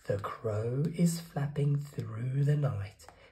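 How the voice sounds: A man speaks slowly at a medium pitch, with ordinary pitch variation, a dark, mellow tone and audible room echo.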